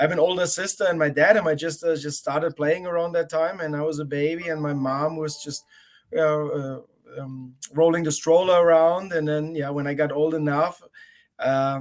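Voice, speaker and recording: A man with a German accent speaks at a moderate pace with a fairly high pitch and fairly even intonation. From Germany. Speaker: college tennis coach. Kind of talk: interview.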